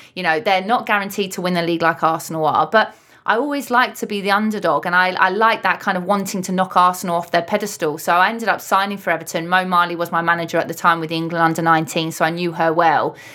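A woman with a London accent talks at a very fast pace in a bright, sharp tone, her medium pitch showing ordinary variation. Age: 30s. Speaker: retired footballer. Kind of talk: interview.

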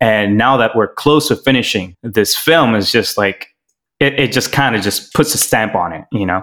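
A man's medium-pitched voice with a bright, sharp tone, a moderate pace, and ordinary pitch variation. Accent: American. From Miami, Florida. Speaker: filmmaker and executive producer. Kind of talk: casual interview chat.

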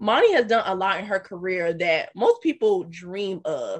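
The speaker has an unremarkable speaking voice with an American accent. The pace is moderate. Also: woman. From US South, South Carolina. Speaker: podcast host. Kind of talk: interview.

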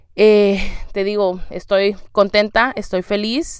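A woman is talking. The pitch of her voice sits in the middle. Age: 30s. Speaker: podcast host, mother. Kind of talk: personal monologue.

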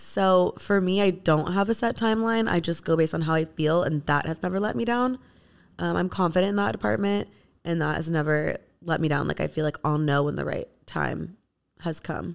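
The speech moves fairly quickly. Its intonation is lively. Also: woman. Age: 30s. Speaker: beauty brand founder. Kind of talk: casual chat.

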